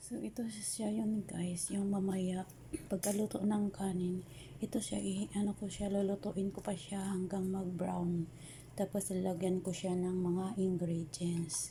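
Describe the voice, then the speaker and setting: Soft-spoken delivery comes at a fairly slow pace. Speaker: overseas domestic worker cooking vlogger. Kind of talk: cooking tutorial. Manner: soft-spoken, quiet.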